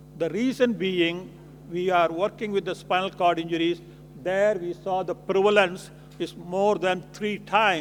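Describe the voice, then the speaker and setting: The man's voice sits high for a man, with fairly even intonation. He speaks at a fairly slow pace. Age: 70s. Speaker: physician. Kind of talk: lecture.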